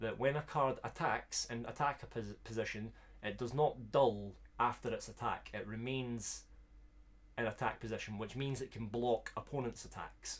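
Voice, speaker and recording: A man with a Scottish accent at a moderate pace, on a very clean recording against a silent background. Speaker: streamer. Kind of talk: live stream commentary while opening cards. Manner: animated.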